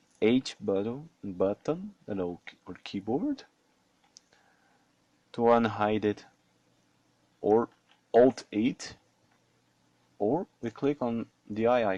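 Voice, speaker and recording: A man with a non-native accent speaks very slowly in a dark, mellow tone at a medium pitch, using ordinary pitch variation and long, frequent pauses, in a dry, close sound with no echo. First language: not English. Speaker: 3D modeling hobbyist. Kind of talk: screen-recorded software tutorial talk. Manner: hesitant, casual.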